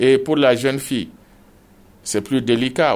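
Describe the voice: Speaking at a moderate pace, a man with vocal fry talks at a medium pitch.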